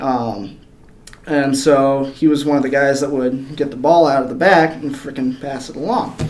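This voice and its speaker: Audible room echo and noticeable background noise surround a man with an American accent who speaks at a moderate pace, his fairly high pitch held in fairly even intonation. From northern Michigan, Kalkaska. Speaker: metal finisher and amateur MMA fighter. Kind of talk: casual interview. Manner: hesitant, many fillers.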